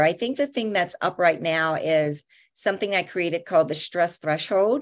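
A woman's normal speaking voice, medium in pitch, with lively intonation at a moderate pace, on a very clean recording with a silent background. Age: 50s. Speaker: therapist and author. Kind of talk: interview.

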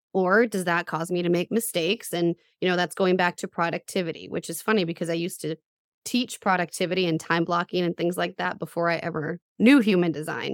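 A woman talks in a normal speaking voice at a fairly quick pace, her pitch fairly low. Her intonation is fairly even, and the sound is dry and close with no echo. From US, middle-class town, Puerto Rican father. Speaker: human design coach. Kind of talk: interview.

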